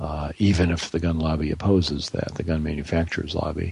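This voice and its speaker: At a fairly quick pace, a man speaks with a very deep, low pitch and a somewhat breathy sound. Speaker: radio host. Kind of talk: interview, conversational.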